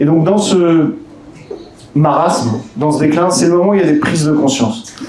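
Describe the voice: The voice carries a dark, mellow tone at a moderate pace with ordinary pitch variation, and there is audible room echo. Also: man.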